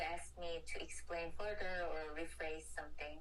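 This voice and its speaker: In a Korean accent, a woman talks at a fairly slow pace amid noticeable background noise and audible room echo. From South Korea. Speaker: design student interviewer. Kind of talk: interview. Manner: halting.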